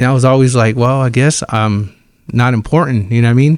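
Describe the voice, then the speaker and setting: A man talks with a normal speaking voice at medium pitch. His intonation is fairly even and his pace fairly quick. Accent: American. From Fresno, California, US. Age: 40s. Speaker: ministry director. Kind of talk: testimony. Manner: casual, conversational.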